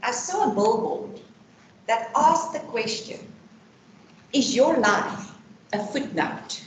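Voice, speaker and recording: Amid noticeable background noise and audible room echo, a woman speaks at a very slow pace with long, frequent pauses. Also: fairly high pitch for a woman, lively intonation. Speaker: employee benefits consultant. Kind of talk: personal testimony talk. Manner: loud; talkative.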